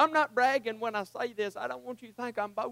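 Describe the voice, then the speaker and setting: At a fairly quick pace, a man talks in an extremely high, strained and hoarse voice with a bright, sharp tone and ordinary pitch variation. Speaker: preacher. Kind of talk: fervent prayer and pleading near the close of a sermon. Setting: church. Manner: impassioned, urgent, pleading; hoarse, strained delivery.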